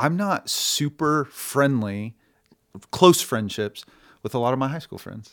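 A man with a normal speaking voice and an American accent talks at a fairly high pitch, his loudness swinging widely, on a very clean recording with a silent background. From Oklahoma. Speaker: barbershop owner and actor. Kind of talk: casual chat.

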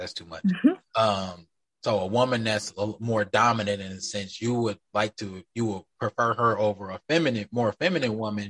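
A man with a normal speaking voice talks at a fairly low pitch and a fairly quick pace, with hardly any pauses and ordinary pitch variation. His loudness swings widely, and the sound is dry and close with no echo. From Wisconsin. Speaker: podcast host. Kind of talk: casual chat.

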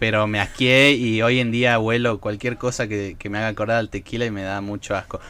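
With a bright, sharp tone, a man speaks at a medium pitch and a fairly quick pace, monotone and flat, with hardly any pauses. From Argentina, Salta. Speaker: podcast co-host. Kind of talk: casual chat.

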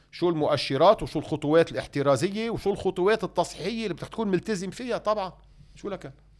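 At a very fast pace, a man talks in a high pitch. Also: ordinary pitch variation. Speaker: economist and political figure. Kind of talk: interview.

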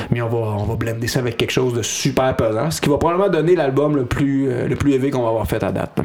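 In a Quebec accent, a man talks at a very fast pace with hardly any pauses, at a medium pitch with ordinary variation, over music in the background. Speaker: hardcore band singer. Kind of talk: casual interview.

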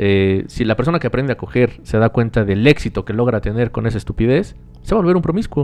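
Speaking at a very fast pace, a man with a Mexican accent uses lively intonation. His pitch sits in the medium range. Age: 20s. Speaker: podcast co-host. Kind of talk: casual chat.

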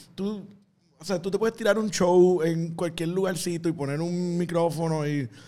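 This man's voice is high-pitched with a dark, mellow tone. He keeps a moderate pace and fairly even intonation. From Puerto Rico. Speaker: comedian. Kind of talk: casual chat.

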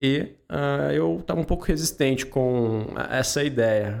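Very wide pitch swings mark this man's speech. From Pinhal, São Paulo state, Brazil. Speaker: podcast founder and host, interviewed about his career. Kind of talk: casual interview chat.

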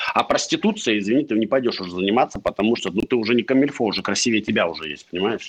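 A man's medium-pitched voice at a very fast pace, with ordinary pitch variation, hardly any pauses and noticeable background noise. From Chita, Russia. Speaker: company founder and CEO. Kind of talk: casual interview. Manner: profane, blunt.

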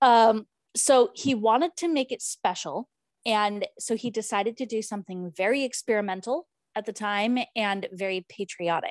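A plain, everyday voice from a woman, fairly high in pitch with ordinary variation, at a moderate pace, in a dry, close sound with no echo and a very clean, silent background. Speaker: podcast host. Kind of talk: casual chat.

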